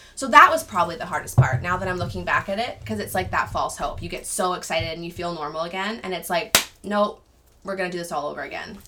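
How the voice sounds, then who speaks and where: Noticeable background noise sits behind a woman with a fairly low pitch. She talks very fast with lively intonation and big swings in loudness. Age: 20s. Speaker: stay-at-home mom sharing her alopecia experience. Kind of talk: casual interview chat. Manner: animated storytelling.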